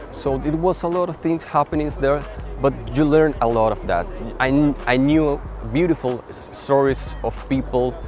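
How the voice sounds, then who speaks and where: With music in the background, a man with a Spanish accent keeps a moderate pace, his fairly high pitch held to fairly even intonation. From Venezuela. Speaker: photographer. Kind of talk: interview monologue. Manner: halting, with repetitions and fillers.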